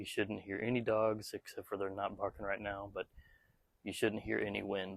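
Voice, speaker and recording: A man speaks at a moderate pace in a fairly low pitch. His intonation is flat and monotone, with vocal fry. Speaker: tech reviewer. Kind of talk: product review vlog. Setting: outdoors. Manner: normal conversational volume; halting, many fillers.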